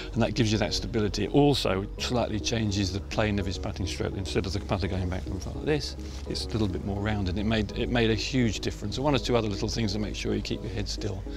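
A man talks at a very fast pace in a very deep, low voice. The sound is dry with no echo, and clear music plays in the background. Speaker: putting coach. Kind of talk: interview answer. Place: open country.

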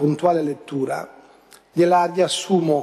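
A man is speaking. His pace is fairly slow. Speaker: city council president. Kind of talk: council meeting chairing. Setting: council chamber. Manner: formal. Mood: defensive, reassuring. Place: hall. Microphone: podium.

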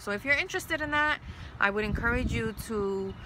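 A woman's voice in a dry sound with no echo, over noticeable background noise. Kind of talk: casual informational update. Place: garden.

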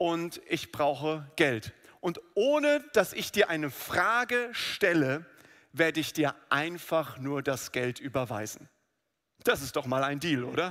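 Very slowly, a man delivers his words in a bright, sharp tone. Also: lively intonation, quiet background. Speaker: preacher. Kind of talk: sermon. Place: church. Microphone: headset.

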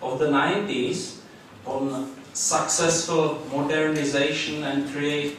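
Strong room echo surrounds a man's voice, with light background noise. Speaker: keynote conference speaker. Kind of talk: lecture. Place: hall.

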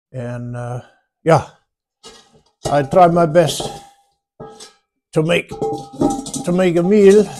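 A dark, mellow tone colors this man's voice. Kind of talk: casual vlog chat. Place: home room. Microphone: phone near.

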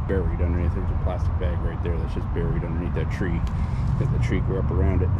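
A man talks at a very fast pace over loud background noise. His voice sounds dry, with no echo. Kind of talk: casual vlog chat. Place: forest. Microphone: phone near.

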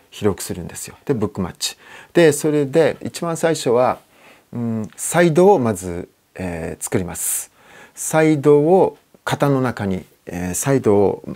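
A man with a dark, mellow tone speaks at a fairly slow pace and medium pitch with very wide pitch swings, in a very clean recording with a silent background. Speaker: guitar maker. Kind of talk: interview. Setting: workshop. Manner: relaxed, with many fillers.

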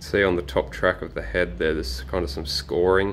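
A man speaks with vocal fry over light background noise. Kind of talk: product demonstration commentary. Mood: calm, matter-of-fact. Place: home room. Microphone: phone near.

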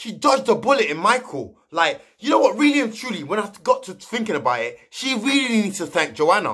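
Animated and passionate, a man talks at a fairly quick pace with hardly any pauses. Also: quiet background. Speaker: youtuber commenting on reality TV. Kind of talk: casual vlog commentary. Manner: animated, passionate; loud at times. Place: home room. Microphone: webcam.

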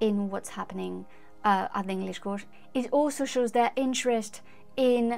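A woman's voice with ordinary pitch variation, faint music in the background. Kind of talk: commentary. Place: home room.

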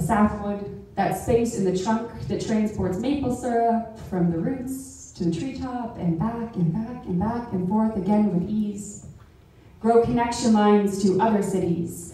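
A woman speaks at a fairly slow pace with ordinary pitch variation. Strong room echo fills the recording. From Canada. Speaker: poet. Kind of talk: poem performed. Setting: live event in a club hall. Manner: rhythmic, spoken-word cadence with deliberate pauses; earnest, lyrical and rising toward a civic call to action. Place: hall.

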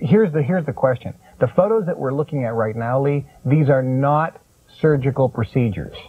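A man talks at a fairly quick pace with a fairly high pitch and lively intonation. The background is quiet. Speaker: infomercial host. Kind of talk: infomercial interview host. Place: studio. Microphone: lapel.

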